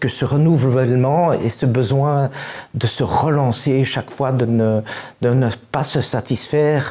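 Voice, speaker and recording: The intonation is fairly even and the loudness very even. Delivery comes at a very slow pace. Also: man. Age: 60s. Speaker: musician. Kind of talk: interview. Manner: halting.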